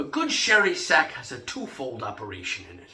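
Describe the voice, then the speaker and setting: This man is doing a put-on character voice with a raspy edge. His delivery runs fairly slowly. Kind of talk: Shakespeare monologue.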